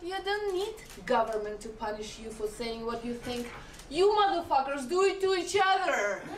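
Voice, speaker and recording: With a Russian accent, a woman speaks at a high pitch with very wide pitch swings, amid noticeable background noise and audible room echo. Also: big swings in loudness. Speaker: stand-up comedian. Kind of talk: stand-up.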